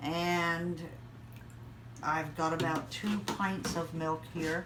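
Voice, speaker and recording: Audible room echo surrounds a woman whose voice has a fairly low pitch. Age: 60s. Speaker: home cook. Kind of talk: cooking tutorial. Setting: home kitchen.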